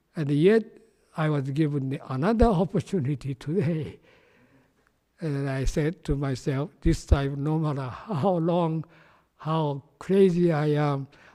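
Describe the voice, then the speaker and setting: A man with a Japanese accent has a dark, mellow tone and a fairly high pitch, showing ordinary pitch variation on a very clean recording with a silent background. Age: 80s+. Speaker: Buddhist minister. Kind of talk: dharma talk. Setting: temple podium, in person. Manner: halting, repetitive.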